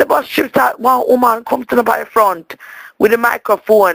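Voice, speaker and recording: The voice carries an animated tone in a Jamaican accent. The sound is dry and close, with no echo. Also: woman. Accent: Jamaican patois. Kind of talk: voicemail message to a friend. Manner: animated, comedic storytelling.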